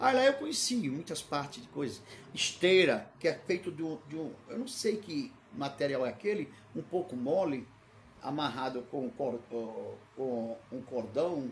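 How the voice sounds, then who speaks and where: The speaker talks at a fairly slow pace with very wide pitch swings and a somewhat breathy quality. Room echo is audible. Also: man, fairly high pitch for a man. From Brazil, Recife (Pernambuco), then São Paulo from 16. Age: 60s. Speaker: pastor. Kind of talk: sermon with personal digressions, livestream. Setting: livestream. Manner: halting, repetitive.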